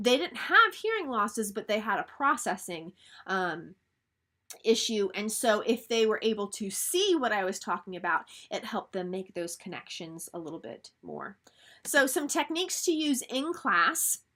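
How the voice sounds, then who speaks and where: The tone is bright and sharp, with very wide pitch swings at a fairly slow pace. The recording is very clean, with a silent background. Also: woman. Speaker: college lecturer in education. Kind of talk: lecture. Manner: mumbling at times.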